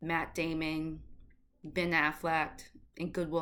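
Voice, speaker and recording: In a very clean recording with a silent background, a woman with a slight Boston accent speaks at a very slow pace, her fairly low voice carrying a bright, sharp tone. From Boston, Massachusetts. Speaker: actor and writer, vlogger. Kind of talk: casual vlog Q&A. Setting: at home in summer heat. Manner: casual, chatty.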